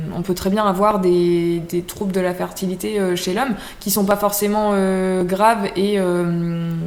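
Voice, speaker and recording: Over noticeable background noise, a woman speaks very slowly at a medium pitch with flat, monotone intonation. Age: 20s. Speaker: naturopath. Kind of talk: interview. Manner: hesitant, many fillers.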